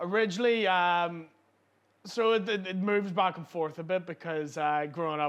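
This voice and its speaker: A loud man with a high pitch and ordinary pitch variation speaks at a moderate pace against a quiet background. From Northern Ireland, East Belfast. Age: 20s. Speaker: comedian. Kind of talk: casual chat. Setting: pub.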